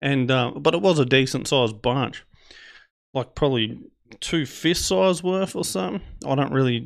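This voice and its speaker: Speaking at a moderate pace, a man with an Australian accent uses a medium pitch. The background is quiet. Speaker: podcast host. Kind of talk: storytelling monologue. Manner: casual, rambling.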